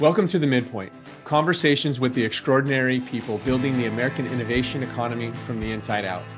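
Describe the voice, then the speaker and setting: A man speaks at a very fast pace over background music. His pitch is medium, with ordinary variation. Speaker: podcast host, startup founder. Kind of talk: interview host questions.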